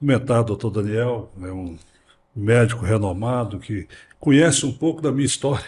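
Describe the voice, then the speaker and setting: Over a quiet background, a man sounds somewhat breathy, with big swings in loudness. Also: medium pitch for a man, ordinary pitch variation, moderate pace. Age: 60s. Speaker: prostate cancer survivor. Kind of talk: interview. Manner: halting.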